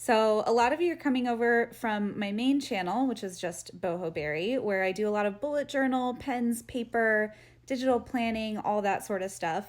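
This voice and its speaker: With an American accent, the speaker keeps a moderate pace with hardly any pauses and ordinary pitch variation. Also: woman, fairly high pitch for a woman. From Florida and Costa Rica. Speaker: vlogger. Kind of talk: casual chat.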